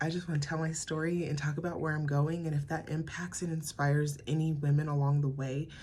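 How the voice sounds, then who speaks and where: A woman speaks with a very deep, low pitch in an American accent. Her intonation stays fairly even. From US, Colorado (Pueblo). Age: 20s. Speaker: podcaster, mom. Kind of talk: casual personal monologue. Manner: halting, many fillers.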